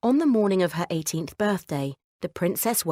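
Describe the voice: The setting behind the voice is quiet. Someone is doing plain reading aloud.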